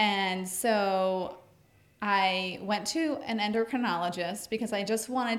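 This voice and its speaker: The pitch rises and falls in an ordinary way. Overall, it is an unremarkable speaking voice. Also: woman. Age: 30s. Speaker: stay-at-home mom, gym member. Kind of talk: casual interview.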